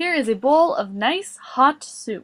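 A woman's put-on character voice, high-pitched and fairly bright in tone, slow in pace with lively intonation.

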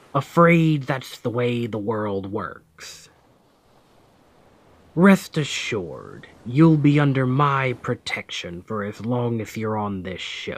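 A man puts on a character voice at medium pitch. He talks at a very slow pace. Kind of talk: ASMR audio roleplay. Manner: commanding, then gentle and reassuring.

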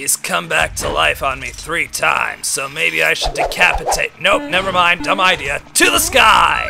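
A man's put-on character voice at a moderate pace, over faint music in the background. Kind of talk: comic parody dub. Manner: dramatic, over-the-top.

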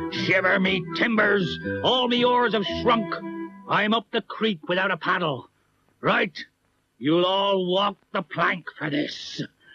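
Over faint background music, a man does a cartoonish character voice, pitched high and paced fairly slowly. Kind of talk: comic overacting. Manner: gloating, blustering.

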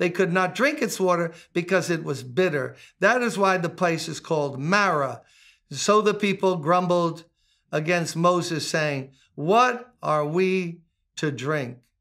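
Against a quiet background, a man talks fairly slowly with ordinary pitch variation. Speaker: pastor. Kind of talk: scripture reading and sermon teaching. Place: home room.

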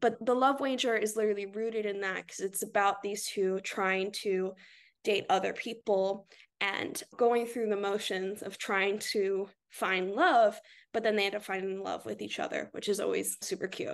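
A woman in an ordinary speaking voice with an American accent, medium pitch, fairly even intonation, moderate pace and a quiet background. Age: 20s. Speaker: book influencer. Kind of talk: casual chat.

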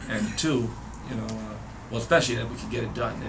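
Noticeable background noise fills the clip. The speaker is a man. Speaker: interviewee. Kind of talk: interview answer. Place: classroom.

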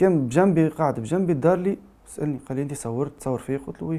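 Speaking at a fairly quick pace, a man talks with a Tunisian accent. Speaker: journalist; journalist giving testimony. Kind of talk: testimony. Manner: halting. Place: studio.

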